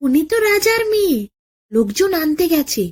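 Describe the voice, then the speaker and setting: Putting on a squeaky character voice at an extremely high pitch, a woman speaks at a moderate pace with very wide pitch swings. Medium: read story. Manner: sly, smooth-talking.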